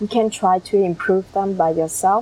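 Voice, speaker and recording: A woman with a Vietnamese accent talks at a fairly slow pace, using ordinary pitch variation. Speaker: YouTuber. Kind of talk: vlog monologue. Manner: halting.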